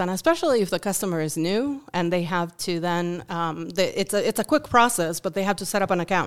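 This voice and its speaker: With a Uruguayan accent, a woman at fairly low pitch talks at a fairly quick pace. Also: very clean recording, silent background. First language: Spanish. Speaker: volunteer. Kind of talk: interview. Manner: halting, many fillers.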